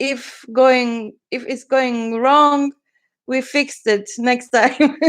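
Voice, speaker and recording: Someone with a non-native accent speaks at a very slow pace with fairly even intonation. The background is quiet. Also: woman, high pitch for a woman. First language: not English. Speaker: journal maker and crafter. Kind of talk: livestream craft flip-through. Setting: livestream from computer. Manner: halting.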